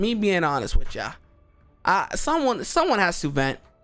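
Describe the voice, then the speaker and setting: A man's animated voice over music in the background. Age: 20s. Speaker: gaming youtuber. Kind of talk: casual vent monologue. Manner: animated, repetitive with false starts.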